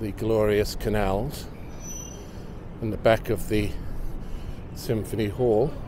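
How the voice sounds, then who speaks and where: Speech comes at a very slow pace with long, frequent pauses, in a dry sound with no echo and noticeable noise behind it. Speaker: local city videographer. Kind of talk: casual walking-tour commentary. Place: street.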